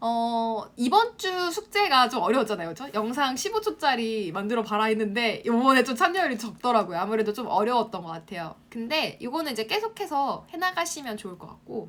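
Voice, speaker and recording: Fairly high-pitched woman speaking at a fairly quick clip with hardly any pauses, very wide pitch swings, big swings in loudness and noticeable background noise. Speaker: online marketing instructor. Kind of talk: live-stream class for students. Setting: Instagram live broadcast. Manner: fast.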